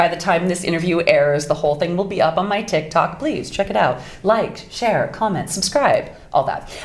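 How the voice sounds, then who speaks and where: With noticeable background noise, a woman with an American accent talks at a moderate pace, her fairly low pitch carrying lively intonation. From US Pacific Northwest. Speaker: voice actress. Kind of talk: interview.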